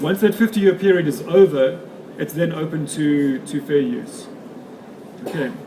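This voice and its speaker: Noticeable background noise sits under this man's voice. His pitch is high, with ordinary variation and long, frequent pauses. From South Africa. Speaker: photographer and author giving a talk. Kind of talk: lecture. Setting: stage with audience at an expo. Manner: fast.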